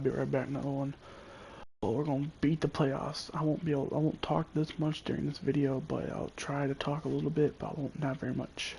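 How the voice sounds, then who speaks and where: With a dark, mellow tone and a somewhat breathy quality, a man speaks at a very fast pace in a fairly high pitch, his intonation monotone and flat. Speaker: gamer streaming gameplay. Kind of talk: casual live-stream commentary. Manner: whispering.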